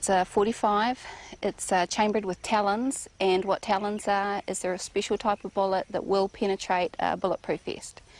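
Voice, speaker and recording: With a New Zealand accent, a woman speaks at medium pitch and a moderate pace in a monotone, flat way, the sound dry and close with no echo. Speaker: rancher. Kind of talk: documentary interview. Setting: outdoors on a ranch.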